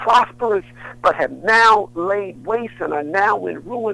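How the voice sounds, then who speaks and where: A man speaks at a fairly slow pace. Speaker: minister and author. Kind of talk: passionate preacher-style talk in a radio interview. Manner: fervent, emphatic, repetitive for emphasis, rhythmic.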